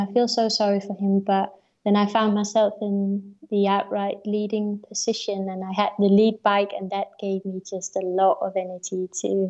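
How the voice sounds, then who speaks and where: In a dark, mellow tone, a woman of medium pitch speaks at a moderate pace with monotone, flat intonation. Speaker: marathon runner. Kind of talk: interview.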